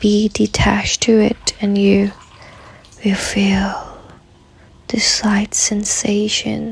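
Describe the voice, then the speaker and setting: Soft-spoken and at a very slow pace, the voice leaves long, frequent pauses over noticeable background noise. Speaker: meditation guide. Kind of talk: guided meditation.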